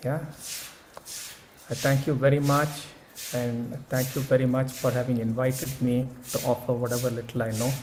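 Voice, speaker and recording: A man speaks in a monotone, flat voice with long, frequent pauses. Audible room echo and noticeable background noise surround him. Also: medium pitch for a man, moderate pace. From India. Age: 70s. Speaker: speaker at an academic conference. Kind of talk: keynote talk; answering audience questions. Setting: conference session with audience.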